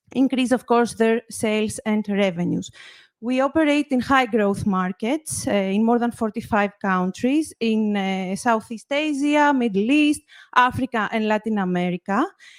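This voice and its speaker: A woman with a Greek accent speaks at a moderate pace, her voice fairly high with ordinary pitch variation. The recording is very clean and dry, close with no echo and a silent background. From Greece. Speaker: marketing executive. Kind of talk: conference presentation.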